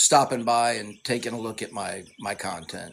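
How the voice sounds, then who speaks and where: This man speaks at a fairly slow pace. His pitch sits in the medium range. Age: 50s. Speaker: tai chi fitness creator. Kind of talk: casual live Q&A monologue. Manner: halting, repeats words.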